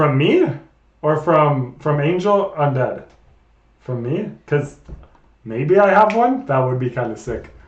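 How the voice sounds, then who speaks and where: Lively intonation at a very slow pace, long and frequent pauses, audible room echo. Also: man, fairly high pitch for a man. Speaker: streamer. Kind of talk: casual chat. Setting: live stream. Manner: animated.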